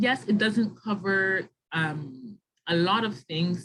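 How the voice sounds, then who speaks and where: With ordinary pitch variation, a woman talks in a voice that is somewhat breathy. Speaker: webinar presenter on graduate school admissions. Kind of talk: online info session with Q&A.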